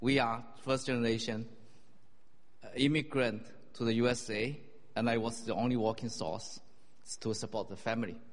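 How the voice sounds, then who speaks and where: A man with a Chinese accent speaks at a moderate pace and medium pitch, using fairly even intonation. He leaves long, frequent pauses, and the room echo is audible. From China. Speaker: church member. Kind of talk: testimony.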